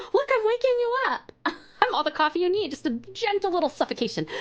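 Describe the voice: A woman puts on a squeaky character voice with a British accent, extremely high in pitch, with very wide pitch swings at a fairly quick pace.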